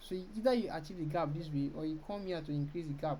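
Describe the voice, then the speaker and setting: In a room with audible echo, a woman talks very fast at a very deep, low pitch. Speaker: design tutorial creator. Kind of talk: screen-recorded software tutorial.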